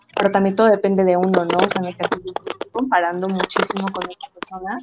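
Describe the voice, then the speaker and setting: Music plays in the background. A woman at a medium pitch talks at a fairly quick pace. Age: 20s. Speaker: podcast host. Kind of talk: casual chat.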